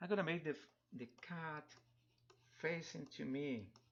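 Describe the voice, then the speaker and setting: In a Spanish accent, a man speaks at a very slow pace. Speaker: digital artist. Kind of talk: live drawing tutorial stream. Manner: halting, many repetitions; casual, chatty. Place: home room.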